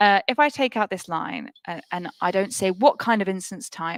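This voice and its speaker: A woman speaks at a moderate pace and a medium pitch. The sound is dry and close, with no echo. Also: very clean recording, silent background. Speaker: tech cloud cost livestream co-host. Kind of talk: live tech demo stream.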